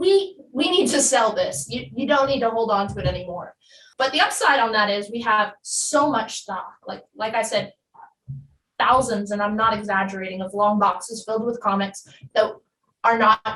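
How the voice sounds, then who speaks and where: An unremarkable speaking voice in an American accent, at a moderate pace with ordinary pitch variation. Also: woman. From New Jersey. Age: 20s. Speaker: comic shop live show host. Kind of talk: interview.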